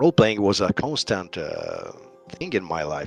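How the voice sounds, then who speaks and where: A moderate pace and a strong Italian accent over music in the background. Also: man. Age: 50s. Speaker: tabletop game designer. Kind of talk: interview. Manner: halting, many fillers.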